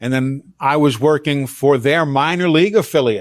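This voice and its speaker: Against a quiet background, a normal speaking voice with an American accent talks at a fairly slow pace with ordinary pitch variation. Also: man. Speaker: veteran sports broadcaster, radio play-by-play announcer. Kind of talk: interview answer, conversational storytelling. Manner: relaxed, fluent, polished.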